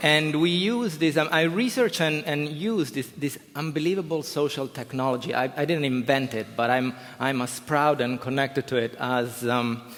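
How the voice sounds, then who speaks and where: A man with an Italian accent speaks at a moderate pace in a fairly high voice, with ordinary pitch variation, hardly any pauses, and noticeable background noise. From Italy. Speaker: professor. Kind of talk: conference talk. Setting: stage with audience. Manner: animated.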